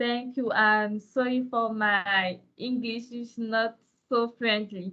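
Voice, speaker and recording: A woman with a French accent, fairly high in pitch, very slow and monotone with flat intonation. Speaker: city official presenter. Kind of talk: presentation.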